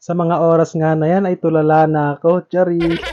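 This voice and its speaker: A man with a fairly high pitch speaks at a moderate pace in a monotone, flat intonation. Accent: strong Visayan. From Visayas, Philippines. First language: Cebuano (speaking Tagalog). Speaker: vlogger. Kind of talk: vlog narration.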